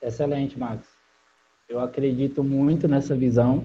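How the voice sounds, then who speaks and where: Monotone, flat intonation comes through a somewhat breathy voice. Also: man. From Brazil, interior of Ceará (Barbalha). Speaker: digital marketing entrepreneur. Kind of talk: interview.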